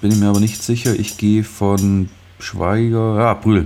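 Noticeable background noise accompanies a man speaking at a fairly slow pace with a fairly low pitch. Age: 20s. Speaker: podcast co-host. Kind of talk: casual chat with quiz game. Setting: video call.

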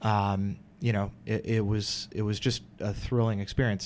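In a very clean recording with a silent background, the speaker talks with an American accent. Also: man. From Wisconsin, US. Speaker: financial advisor. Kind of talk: casual chat. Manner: halting.

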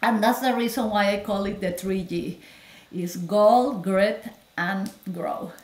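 A woman with a Spanish accent speaks at a very slow pace. Noticeable background noise can be heard. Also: medium pitch for a woman, ordinary pitch variation. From Peru. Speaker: physician. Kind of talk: interview. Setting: video call.

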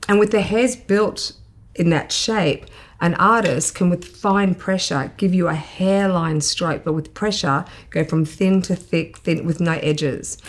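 Speaking fairly slowly, a woman talks with an Australian accent. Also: fairly low pitch for a woman, ordinary pitch variation. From Queensland, Australia. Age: 50s. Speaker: makeup artist. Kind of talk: interview.

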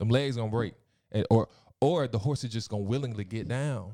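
A man's dark, mellow voice at a very fast pace. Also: very clean recording, silent background. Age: 20s. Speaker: podcast guest, youth worker. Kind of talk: casual chat.

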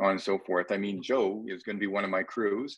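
A man with a Canadian accent and a normal speaking voice talks at a fairly quick pace and a fairly low pitch against a quiet background. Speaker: podcast co-host and ultra runner. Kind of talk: casual roundtable conversation. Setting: phone or video call.

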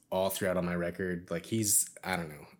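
Here a man with an American accent speaks in a very deep, low, monotone and flat voice. The recording is very clean with a silent background. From Indiana, US Midwest. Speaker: musician. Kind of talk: casual chat.

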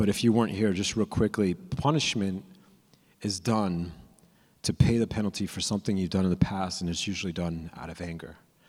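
An American-accented man with a very deep, low pitch, ordinary pitch variation and a moderate pace, in a very clean recording with a silent background. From California. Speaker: young adult ministry preacher. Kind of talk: sermon. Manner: casual, with frequent repeats and fillers.

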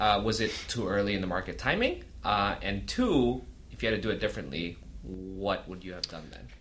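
Speaking at a fairly quick pace, a man with vocal fry has a fairly low pitch and lively intonation. His loudness swings widely, and audible room echo is present. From Saudi Arabia. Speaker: podcast host. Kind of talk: scripted intro narration; casual interview.

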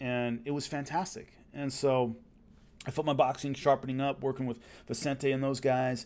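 A man's medium-pitched voice in a Southern California accent, on a very clean recording with a silent background. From Los Angeles. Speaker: former fighter and martial arts show host. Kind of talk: casual storytelling monologue. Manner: conversational, with fillers and repetitions.

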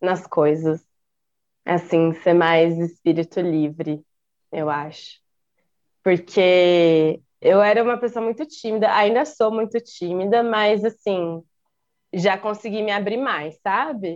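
A woman speaks at a very slow pace with ordinary pitch variation and long, frequent pauses. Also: medium pitch for a woman. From Campinas, São Paulo state, Brazil. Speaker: graphic designer and dancer. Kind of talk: casual chat.

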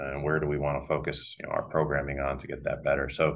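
With an American accent, a man speaks in a very deep, low pitch marked by vocal fry. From US Northeast. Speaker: physical therapist and business owner. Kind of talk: interview. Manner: hesitant, many fillers.

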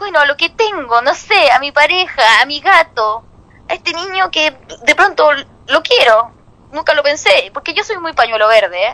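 A woman with a Chilean accent uses a raised, projected voice at a high pitch and moderate pace, with very wide pitch swings. The sound is dry and close with no echo, and there is noticeable background noise. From Chile, Santiago. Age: 30s. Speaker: comedian. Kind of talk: stand-up.

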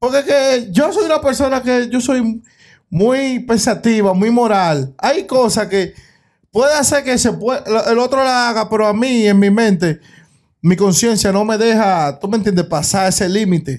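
On a very clean recording with a silent background, a high-pitched man speaks at a fairly slow pace, lively in intonation and very even in loudness. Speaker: podcast co-host. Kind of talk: casual chat.

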